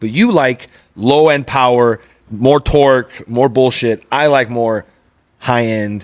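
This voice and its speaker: A man at a fairly slow pace and medium pitch, with ordinary pitch variation. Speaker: podcast host. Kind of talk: casual podcast talk.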